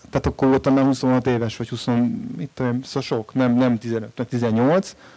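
A man speaks in an unremarkable speaking voice at a medium pitch. His pace is fairly slow. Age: 40s. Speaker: writer. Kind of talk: panel discussion.

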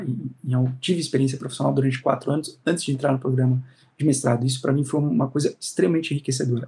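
A man with a dark, mellow tone talks at medium pitch, somewhat breathy, his pitch varying in an ordinary way. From Brazil, São Paulo. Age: 30s. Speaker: law professor. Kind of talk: interview, advice talk.

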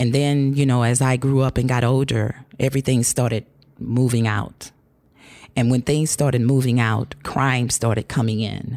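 A woman with an American accent speaks at a very deep, low pitch with a dark, mellow tone. Her moderate-paced delivery has monotone, flat intonation and very even loudness. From North St. Louis, Missouri. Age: 60s. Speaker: urban farm manager. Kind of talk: casual chat.

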